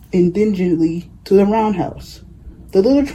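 The pitch of this natural reading voice varies an ordinary amount.

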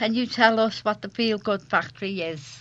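At a fairly slow pace, a woman speaks at medium pitch with a fairly bright tone and ordinary pitch variation.

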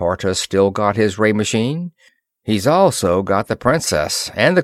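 A quiet background surrounds the unforced reading voice.

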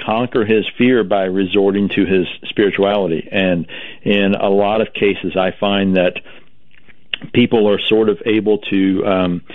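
A man's fairly low voice at a fairly slow pace

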